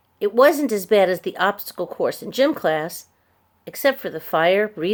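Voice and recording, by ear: The background stays quiet. The speaker is reading aloud in a natural voice.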